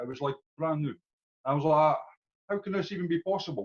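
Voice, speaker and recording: With a Scottish accent, a man talks at a fairly quick pace and a fairly high pitch. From Scotland. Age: 40s. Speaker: customer giving testimonial. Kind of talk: testimony. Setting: video call.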